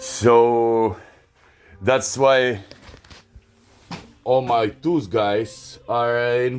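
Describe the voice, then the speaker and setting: A man with a non-native accent, a medium pitch and ordinary pitch variation. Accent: foreign accent in English, self-noted. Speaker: workshop vlogger, tradesman. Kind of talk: casual vlog ramble. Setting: home workshop. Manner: halting, many fillers.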